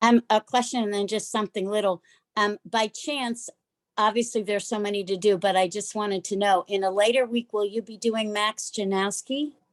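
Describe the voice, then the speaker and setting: Recorded very cleanly against a silent background, with a dry, close sound and no echo, a woman with an American accent speaks in an unremarkable speaking voice at a fairly high pitch and a moderate pace, her intonation fairly even. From US, Pittsburgh. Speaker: class participant. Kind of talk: audience question.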